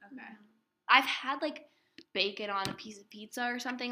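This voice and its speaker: Speaking at a fairly quick pace with ordinary pitch variation, a woman has an unremarkable speaking voice. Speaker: podcast host. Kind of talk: casual chat.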